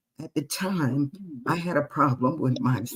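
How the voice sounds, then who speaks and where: A woman with an American accent has a very deep, low pitch. Her intonation is lively. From US Northeast, Queens New York. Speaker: retired jazz and blues singer, author. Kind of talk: interview. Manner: animated.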